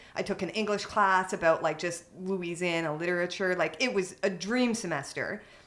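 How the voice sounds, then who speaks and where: At a moderate pace, a woman of medium pitch speaks in an ordinary speaking voice with ordinary pitch variation. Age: 30s. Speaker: cannabis advocate. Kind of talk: casual chat.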